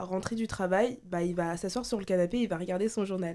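A woman talks at a very fast pace with a dark, mellow tone and ordinary pitch variation. The recording is very clean with a silent background. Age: young (18). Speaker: law student, debate participant. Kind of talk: casual debate.

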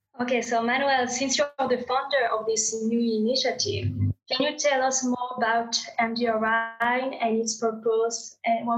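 Using a French accent, a woman speaks at a fairly slow pace with a high pitch and fairly even intonation. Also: very even loudness. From France. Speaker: graduate student. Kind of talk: interview.

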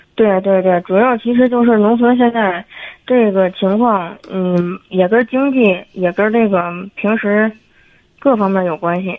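Her pitch sits in the medium range for a woman, with ordinary variation, as she speaks at a fairly slow pace. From Tianjin, China. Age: 30s. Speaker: caller. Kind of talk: call-in advice conversation. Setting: phone call. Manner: halting.

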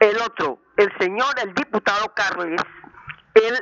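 Someone speaks at a very slow pace with ordinary pitch variation over noticeable background noise. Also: woman. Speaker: elderly caller. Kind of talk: call-in comment.

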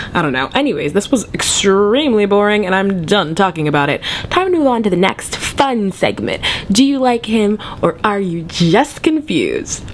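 Amid noticeable background noise, a woman speaks at a medium pitch with very wide pitch swings. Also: moderate pace. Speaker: podcast host. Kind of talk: casual chat. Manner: animated.

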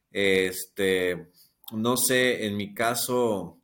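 A man has an unremarkable speaking voice, pitched fairly low, with fairly even intonation. The recording is very clean, with a silent background. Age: 50s. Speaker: TikTok creator and psychotherapy student. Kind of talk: casual interview conversation.

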